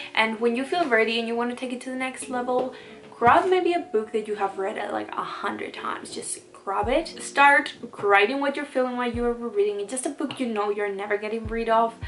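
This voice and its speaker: Lively intonation marks this fairly quick speech, heard against noticeable background noise. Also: woman, fairly high pitch for a woman. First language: not English. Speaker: booktuber. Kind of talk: casual vlog tutorial. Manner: casual, filler-heavy.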